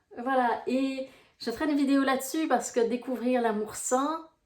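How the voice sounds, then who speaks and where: In a Brussels accent, a woman speaks at a high pitch. Her pace is very slow. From Belgium, Brussels. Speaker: life coach. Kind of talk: casual vlog talk to viewers. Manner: hesitant, many fillers.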